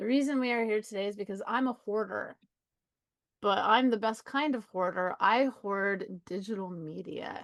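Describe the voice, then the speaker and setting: A fairly high-pitched woman's voice with ordinary pitch variation, a moderate pace and a quiet background. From Colorado, USA. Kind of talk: casual, conversational.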